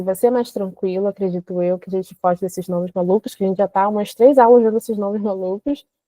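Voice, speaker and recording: A dark, mellow tone with a dry, close sound and no echo. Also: woman. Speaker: chemistry teacher. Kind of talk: online class lecture. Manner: animated.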